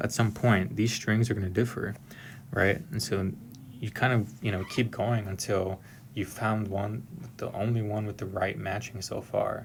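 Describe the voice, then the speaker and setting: An American accent marks this man's somewhat breathy voice. His pitch is fairly low and his intonation fairly even. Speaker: software engineer explaining exam questions. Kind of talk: tutorial. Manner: monotone; hesitant, many fillers.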